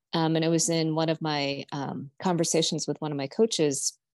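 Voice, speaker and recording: Dry and close with no echo, a woman's voice has a fairly low pitch and a fairly quick pace, an unremarkable speaking voice. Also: quiet background. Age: 50s. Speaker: businesswoman and coach on a pilgrimage. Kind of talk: casual interview.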